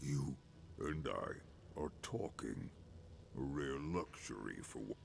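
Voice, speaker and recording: Over clear background noise, a man uses a put-on character voice, very deep and low-pitched, speaking at a fairly slow pace. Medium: video game. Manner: halting, fragmented.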